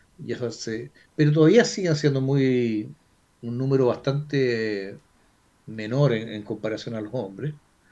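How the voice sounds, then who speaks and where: Fairly slow and dark, mellow in tone, a man speaks with a Chilean accent. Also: medium pitch for a man, ordinary pitch variation, big swings in loudness. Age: 60s. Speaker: flight instructor. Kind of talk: casual chat.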